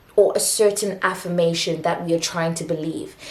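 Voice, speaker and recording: A woman's voice with ordinary pitch variation, amid audible room echo and noticeable background noise. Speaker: self-help video host. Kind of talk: spoken motivational monologue. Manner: halting, with frequent restarts.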